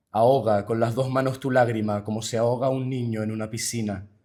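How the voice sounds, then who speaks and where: A man at medium pitch and moderate pace, monotone and flat in intonation, with a dark, mellow tone. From Canary Islands. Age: 20s. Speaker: linguist and poet. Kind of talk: poetry reading.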